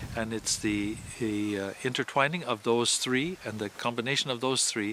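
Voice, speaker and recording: The sound is dry and close, with no echo. A man is speaking, and background noise is noticeable. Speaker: Jesuit priest. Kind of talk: interview. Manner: halting, repeats words.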